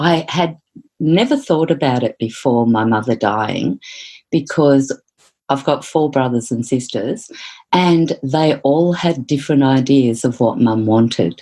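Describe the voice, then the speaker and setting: Very deep and low, a woman's voice moves at a fairly slow pace with very even loudness. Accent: Australian. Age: 60s. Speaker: psychotherapist. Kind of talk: interview.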